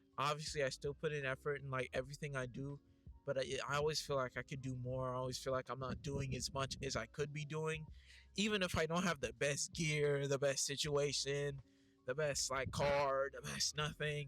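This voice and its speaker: The man's voice is fairly high in pitch, and he keeps a moderate pace. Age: 20s. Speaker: youtuber. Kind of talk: casual vlog monologue. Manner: casual, hesitant with fillers.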